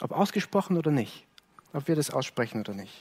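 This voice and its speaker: A man's fairly high voice with a warm tone. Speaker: preacher. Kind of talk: sermon, earnest preaching to a congregation, explaining a Bible text. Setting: church. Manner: earnest, measured and warm, pastoral, with some self-correcting repetitions.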